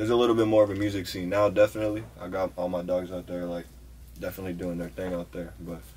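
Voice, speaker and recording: Very fast and somewhat breathy, a man with an American accent talks in a very deep, low voice with lively intonation. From Haverhill, Massachusetts, near Boston; Massachusetts. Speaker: rapper; interviewee. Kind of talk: casual interview chat. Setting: studio booth. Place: studio.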